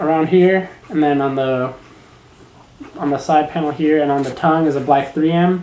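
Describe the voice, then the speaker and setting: There is audible room echo and light background noise. Against it, a man speaks at a moderate pace. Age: 20s. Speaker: shoe review vlogger. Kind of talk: product review vlog. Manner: casual, hesitant with fillers. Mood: relaxed, enthusiastic. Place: home room. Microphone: webcam.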